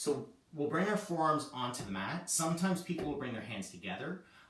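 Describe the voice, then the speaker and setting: The voice sounds strained and shaky at a moderate pace. There is audible echo from the room. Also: man. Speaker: yoga teacher. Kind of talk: guided yoga class. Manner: casual, conversational; strained, shaky while holding plank.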